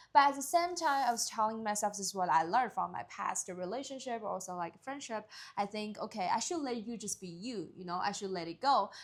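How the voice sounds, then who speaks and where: A woman with a fairly high pitch talks at a fairly quick pace with hardly any pauses, her loudness swinging widely. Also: lively intonation. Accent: Chinese. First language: Chinese. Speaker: podcast co-host. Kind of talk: casual chat.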